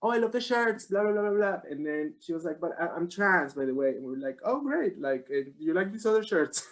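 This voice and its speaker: A man talks at a fairly quick pace with a slight Irish accent. His intonation is lively. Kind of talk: casual chat. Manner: halting.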